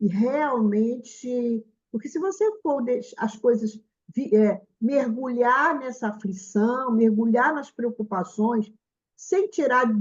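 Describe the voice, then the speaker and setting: At a very slow pace with long, frequent pauses, a woman speaks at a high pitch with lively intonation. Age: 70s. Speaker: spiritist meeting host. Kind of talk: casual chat. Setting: video call.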